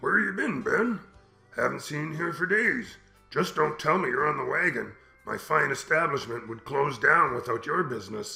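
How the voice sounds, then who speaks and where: A man puts on a raspy character voice, fairly high in pitch, with very wide pitch swings at a moderate pace. Faint music plays in the background. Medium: audio drama. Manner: gruff, profane.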